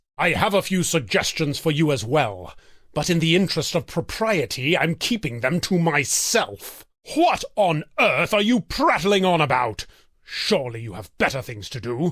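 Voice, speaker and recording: A man puts on a character voice at a fairly high pitch. He moves at a moderate pace with very wide pitch swings. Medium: video game. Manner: haughty, exasperated, theatrical.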